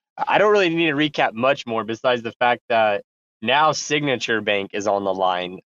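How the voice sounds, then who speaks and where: Lively intonation, medium pitch and a moderate pace from a man with a normal speaking voice. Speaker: podcast host and project founder.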